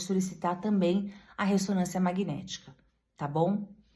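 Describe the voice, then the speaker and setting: At a moderate pace, a woman speaks with medium pitch in a dark, mellow, somewhat breathy tone. Room echo is audible. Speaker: breast surgeon (mastologist). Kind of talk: medical explainer talk to camera.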